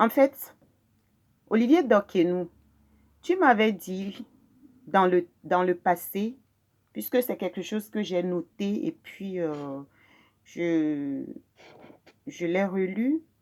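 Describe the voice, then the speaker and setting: At a very slow pace with long, frequent pauses, a woman of medium pitch speaks with lively intonation in a Togolese accent on a very clean recording with a silent background. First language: Mina (speaking French). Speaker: video blogger. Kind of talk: personal testimony. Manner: halting, frequent hesitations.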